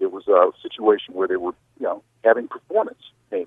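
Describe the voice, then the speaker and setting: A man talks at a fairly quick pace. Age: 50s. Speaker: TV sports director. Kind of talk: interview.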